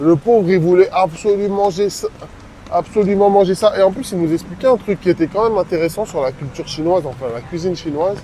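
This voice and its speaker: Noticeable background noise sits under speech that runs at a fairly quick pace. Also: man. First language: not French (speaking French). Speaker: travel vlogger. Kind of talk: casual vlog chat.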